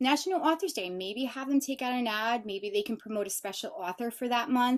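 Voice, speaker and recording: Her pitch is high, and her intonation lively. The woman talks at a fairly quick pace. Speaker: sales representative and webinar co-host. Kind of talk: webinar product demo. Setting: live webinar. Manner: fast; animated.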